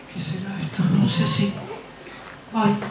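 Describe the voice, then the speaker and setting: A man at a fairly slow pace, with audible room echo and light background noise. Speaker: storyteller. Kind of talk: children's theatre performance. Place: stage. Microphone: camera far.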